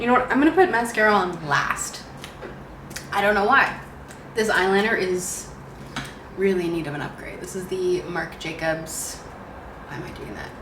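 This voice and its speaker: Speech at a moderate pace carries audible room echo along with noticeable background noise. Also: woman. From Canada, Ontario. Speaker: beauty vlogger. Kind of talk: casual makeup tutorial chat.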